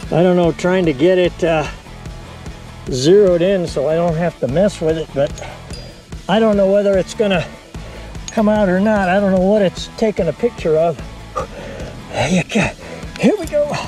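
A man's high-pitched voice with long, frequent pauses, dry with no echo, over clear music in the background. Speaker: rock climber. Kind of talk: casual talk to camera. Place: open country. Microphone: phone near.

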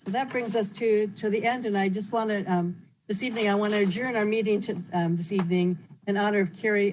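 A woman speaks very fast at a medium pitch. Her voice is somewhat breathy and her intonation fairly even. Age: 70s. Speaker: mayor. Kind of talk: chairing a council meeting. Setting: teleconference.

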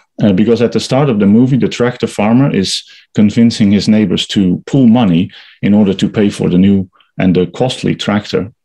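Fairly low in pitch, a man speaks with a dark, mellow tone and ordinary pitch variation. His loudness stays very even against a quiet background. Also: fairly quick pace. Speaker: presenter. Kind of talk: lecture. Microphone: webcam.

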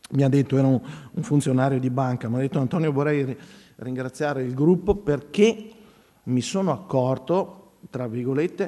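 Here a man speaks at a medium pitch with ordinary pitch variation. His pace is moderate. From Veneto, Italy. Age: 50s. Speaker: priest and church art educator. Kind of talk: conference talk.

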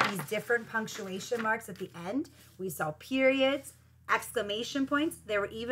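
Someone simply reads aloud, their pitch varying in an ordinary way.

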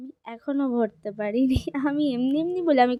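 A woman talks with ordinary pitch variation. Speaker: lifestyle vlogger. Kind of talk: casual vlog narration.

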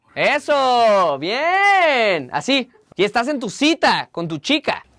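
A man speaks slowly at an extremely high pitch, with big pitch swings and a fairly bright tone.

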